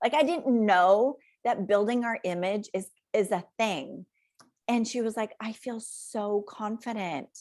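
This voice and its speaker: A woman with a fairly high pitch and an unremarkable speaking voice speaks at a fairly slow pace with ordinary pitch variation, in a very clean recording with a silent background. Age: 50s. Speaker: wardrobe stylist. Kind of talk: casual chat.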